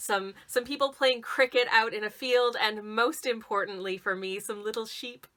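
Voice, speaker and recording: At a moderate pace, a woman with a southern Ontario accent speaks in a bright, sharp tone, her fairly high pitch showing ordinary variation. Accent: Southern Ontario Canadian. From Canada, Southern Ontario. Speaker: YouTuber, tea taster. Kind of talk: casual tasting review vlog. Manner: chatty, halting with self-corrections.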